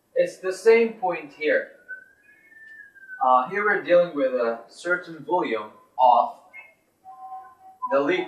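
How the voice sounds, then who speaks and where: A high-pitched man at a very slow pace with long, frequent pauses, music in the background and audible room echo. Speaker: teacher. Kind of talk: lecture. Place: classroom. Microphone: camera far.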